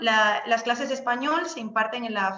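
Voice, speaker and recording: A woman's fairly high voice at a moderate pace with ordinary pitch variation, with audible room echo. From Spain, Seville. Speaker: Spanish language lecturer abroad. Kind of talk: informational webinar talk. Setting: video call webinar. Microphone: unstable internet connection.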